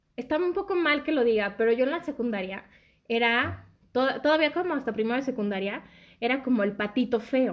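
Lively in intonation, a woman talks at a fairly quick pace with a high pitch. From Mexico City area (born Guadalajara). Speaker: podcast guest, friend of host. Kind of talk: casual chat.

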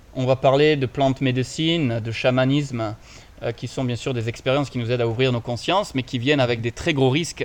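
A man talks fairly quickly in a normal speaking voice at medium pitch. His intonation stays fairly even. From France. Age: 30s. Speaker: podcast co-host, spiritual coach. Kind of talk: casual conversation. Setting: recording in Bali.

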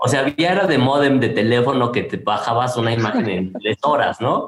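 The speech moves at a fairly quick pace with a Mexican accent. Noticeable background noise sits behind it. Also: man. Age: 40s. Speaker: industrial designer. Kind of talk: interview conversation.

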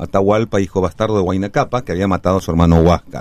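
The recording is very clean and the background silent. A man talks with fairly even intonation. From Peru, Cusco. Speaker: actor. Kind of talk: interview. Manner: halting.

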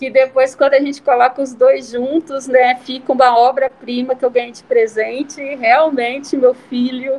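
At a moderate pace with hardly any pauses, a woman speaks in a high pitch and monotone, flat intonation, her loudness swinging widely. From Brazil, small town. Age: 30s. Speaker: fashion entrepreneur and seamstress. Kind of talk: interview conversation. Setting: remote online recording.

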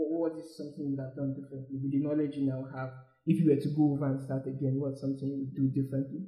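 A man talks very fast in a fairly high, flat monotone. His voice is somewhat breathy. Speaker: podcast host. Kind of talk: interview.

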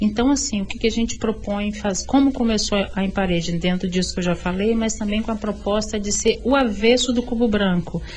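At a fairly quick pace with hardly any pauses, a woman speaks in a fairly high pitch with fairly even intonation over noticeable background noise. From Vitória, Espírito Santo, Brazil. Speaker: visual artist, cultural space founder. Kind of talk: radio interview.

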